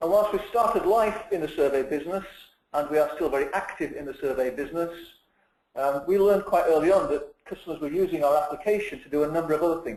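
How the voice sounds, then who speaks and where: A man with a British accent talks at a very fast pace and a high pitch, with big swings in loudness. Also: ordinary pitch variation. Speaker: company CEO hosting webinar. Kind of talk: webinar presentation. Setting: online webinar.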